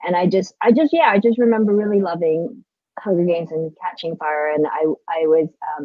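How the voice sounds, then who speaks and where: With an American accent, a woman talks at a fairly quick pace in a fairly low pitch, her pitch varying in an ordinary way. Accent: sounds American. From Philippines, Manila. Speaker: book subscription box founder. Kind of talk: casual chat. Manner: halting.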